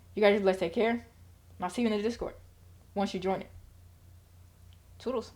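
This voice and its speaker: Very fast speech broken by long, frequent pauses, with fairly even intonation. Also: woman, medium pitch for a woman. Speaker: trading channel host. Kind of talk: market analysis tutorial. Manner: casual, rushed.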